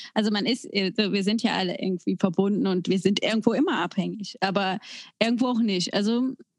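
A woman speaks in a normal speaking voice at a medium pitch and moderate pace, with ordinary pitch variation. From Germany, near the Belgian border. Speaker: podcast co-host. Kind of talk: casual chat.

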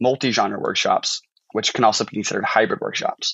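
A man with an American accent, medium pitch, and a fairly quick pace. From US Midwest, St. Charles, Missouri (St. Louis suburbs). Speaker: fiction writer, MFA student. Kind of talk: casual interview chat.

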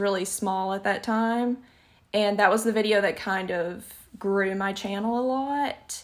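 Very slow speech in a Southern US accent with fairly even intonation. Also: woman. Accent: Southern US, noticeable. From Alabama, US South. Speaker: YouTuber and podcaster. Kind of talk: casual chat. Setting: video call.

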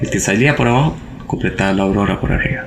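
In a Costa Rican accent, a man with a fairly low voice talks fairly quickly with lively intonation, amid noticeable background noise and audible room echo. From Costa Rica, La Palmita. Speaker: accident survivor. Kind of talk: testimony.

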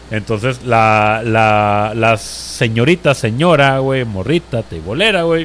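A man with a Mexican accent talks in an animated tone with lively intonation over noticeable background noise. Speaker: podcast host. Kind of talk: casual chat.

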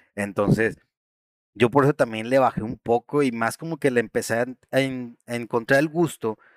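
Recorded with a dry, close sound and no echo, a man with a Mexican accent speaks at a fairly slow pace. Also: very clean recording, silent background. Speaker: gaming podcast host. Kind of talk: casual chat.

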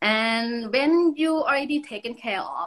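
A woman speaks with a Thai accent and ordinary pitch variation. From Thailand. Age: 40s. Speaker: yoga teacher. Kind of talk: casual interview chat. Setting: video call.

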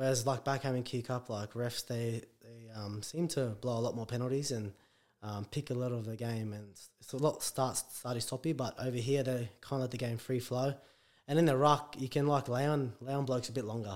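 With an Australian accent, a man talks at a fairly quick pace, his medium pitch held to fairly even intonation. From Brisbane, Australia. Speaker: professional rugby league player. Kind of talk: casual interview.

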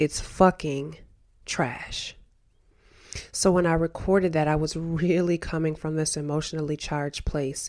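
A woman speaks slowly in a very deep, low voice with monotone, flat intonation. The recording is very clean, with a silent background. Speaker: podcast host. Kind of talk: personal monologue. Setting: home studio with window open.

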